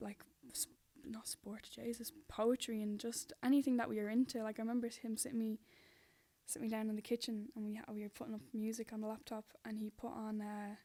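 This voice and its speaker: Her voice has a dark, mellow tone and fairly high pitch. This woman moves at a fairly quick pace with fairly even intonation. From Dublin, Neilstown. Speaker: spoken word poet. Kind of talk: casual interview chat.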